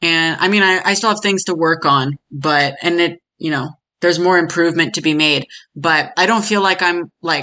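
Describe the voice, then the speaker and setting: Against a quiet background, a woman with an American accent speaks in a bright, sharp tone. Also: fairly low pitch for a woman, ordinary pitch variation, moderate pace. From United States. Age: 20s. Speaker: podcast guest. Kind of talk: interview testimony. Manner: casual, many fillers.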